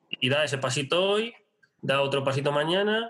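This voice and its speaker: A normal speaking voice at a fairly quick pace with lively intonation. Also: man. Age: 30s. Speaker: online business strategy consultant. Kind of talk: interview.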